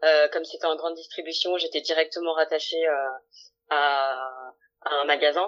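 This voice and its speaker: A woman's very deep, low voice at a moderate pace, in a monotone, flat intonation. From France, Lyon. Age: 20s. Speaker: career coach, former HR manager. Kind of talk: interview testimony. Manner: hesitant, many fillers.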